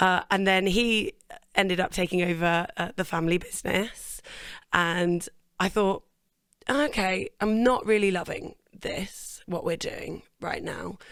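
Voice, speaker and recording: A woman with an English accent, fairly slow pace and fairly even intonation. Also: medium pitch for a woman, very clean recording, silent background. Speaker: singer. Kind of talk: interview.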